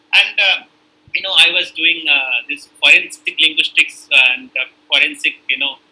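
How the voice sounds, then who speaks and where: A man with a North Indian accent, a high pitch, lively intonation and a moderate pace. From northern India. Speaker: university lecturer in linguistics. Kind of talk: lecture. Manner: hesitant, many fillers.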